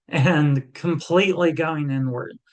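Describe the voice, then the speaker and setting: This is a normal speaking voice at a fairly slow pace. The intonation is fairly even. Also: man. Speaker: hypnotherapist and energy healing practitioner. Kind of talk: spiritual self-help talk to camera. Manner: calm, conversational, reassuring.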